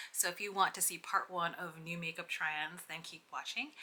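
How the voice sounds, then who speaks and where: Soft-spoken and fairly low in pitch, a woman talks at a fairly quick pace. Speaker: beauty vlogger. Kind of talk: casual get ready with me tutorial.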